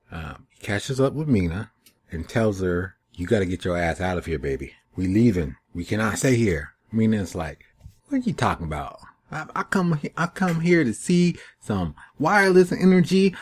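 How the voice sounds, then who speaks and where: A somewhat breathy man with a fairly low pitch and very wide pitch swings. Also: moderate pace. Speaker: TV show reviewer. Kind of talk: casual review monologue. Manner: hesitant, many fillers; rambling, skipping around.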